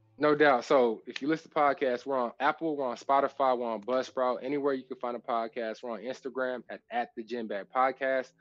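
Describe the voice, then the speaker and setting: An unremarkable speaking voice with an American accent moves at a fairly quick pace with hardly any pauses. The intonation stays fairly even. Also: man, medium pitch for a man. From Texas. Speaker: former NFL safety and podcast host. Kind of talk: casual chat.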